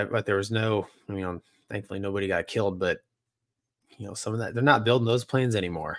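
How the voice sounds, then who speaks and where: A man with an American accent talks at a fairly quick pace in a medium pitch with ordinary variation. The sound is dry with no echo and a quiet background. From US South. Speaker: podcast co-host, former fighter pilot; podcast co-host. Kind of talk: casual chat. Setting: live stream. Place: home room.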